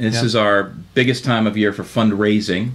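Pitched fairly low, a man speaks with fairly even intonation. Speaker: guest. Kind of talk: interview answer. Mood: warm, pleased. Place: studio. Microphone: studio mic.

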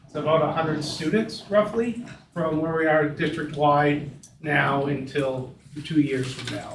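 Amid noticeable background noise and audible room echo, a man with a fairly high voice talks at a fairly slow pace with ordinary pitch variation. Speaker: school administrator. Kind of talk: board meeting discussion. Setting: meeting room, far from the table. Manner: loud.

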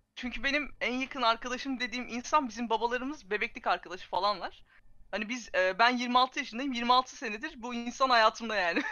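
A woman speaks in a high pitch at a fairly quick pace. Her pitch varies an ordinary amount. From Turkey. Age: 20s. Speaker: esports agency project manager. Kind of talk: casual chat. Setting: video call.

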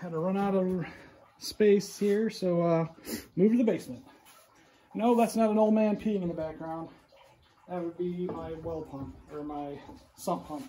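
A man with a high voice speaks at a moderate pace, his pitch varying in an ordinary way. His loudness swings widely, long pauses come often, and light background noise is present. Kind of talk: casual tutorial narration. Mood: relaxed, joking. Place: workshop. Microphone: phone near.

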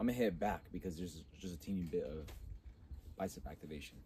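Speaking at a very fast pace, a man uses a very deep, low pitch and a dark, mellow tone, somewhat breathy, with ordinary pitch variation. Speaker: fitness vlogger. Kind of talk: casual vlog talk to camera. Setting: home gym. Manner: casual, rambling with fillers.

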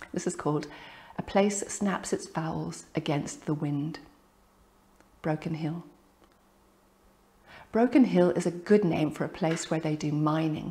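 Somewhat breathy, a woman with a fairly low pitch talks at a fairly slow pace, leaving long, frequent pauses. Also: ordinary pitch variation. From Ireland. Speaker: poet. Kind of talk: reading from own book. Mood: calm, reflective. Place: home room.

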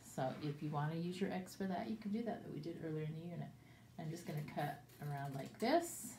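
A woman speaks at a fairly quick pace in a fairly low pitch with ordinary pitch variation, with audible room echo and light background noise. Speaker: teacher. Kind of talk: tutorial for young children. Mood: warm, cheerful. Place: classroom. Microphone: phone near.

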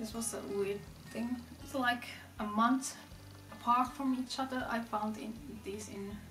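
With a non-native accent, a woman speaks in a fairly high, monotone, flat voice at a fairly slow pace with long, frequent pauses, amid audible room echo and clear music in the background. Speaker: fashion vlogger. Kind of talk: casual talk to camera. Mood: enthusiastic. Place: home room.

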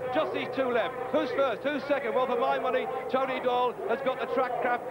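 A man talks at a fairly quick pace in an excited tone, his pitch extremely high. Crowd noise fills the background. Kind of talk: live cycling commentary. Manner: brisk, excited race-calling as the action unfolds.

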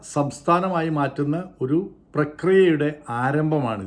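A man with a normal speaking voice talks in a fairly high pitch with ordinary pitch variation. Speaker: YouTube commentator. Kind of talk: opinion monologue.

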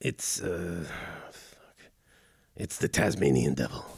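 Doing a cartoonish character voice, a man speaks very slowly in a raspy, very deep, low pitch. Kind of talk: comedic podcast banter. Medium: puppet. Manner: exasperated, profane.

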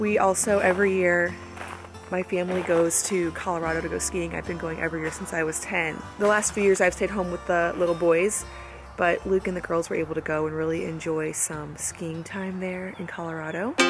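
A woman speaks at a fairly quick pace in a fairly low, monotone voice with flat intonation. The sound is dry with no echo, and clear music plays in the background. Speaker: family vlogger. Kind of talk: casual vlog chat. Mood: calm, relaxed. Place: open country. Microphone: phone near.

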